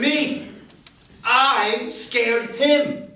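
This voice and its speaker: Someone talks at a very slow pace over noticeable background noise. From New York City (Queens). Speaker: storyteller. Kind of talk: stage storytelling.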